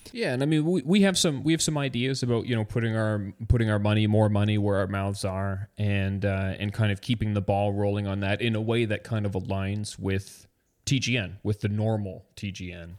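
On a very clean recording with a silent background, a man in an unremarkable speaking voice talks at a fairly quick pace with hardly any pauses, his fairly low pitch showing ordinary variation. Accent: Canadian. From Canada. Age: 30s. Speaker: podcast co-host. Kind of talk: casual chat.

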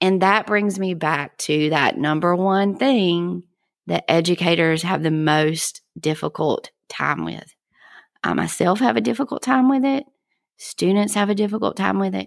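In a very clean recording with a silent background, a woman speaks at a fairly low pitch and fairly slow pace with lively intonation. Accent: Southern US. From South Georgia, US South. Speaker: podcast host, educator. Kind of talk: podcast monologue, scripted-style intro. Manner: friendly, upbeat.

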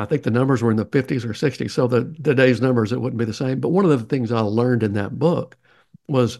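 The speaker has a Southern US accent and ordinary pitch variation. The background is quiet. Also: man. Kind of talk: interview, conversational.

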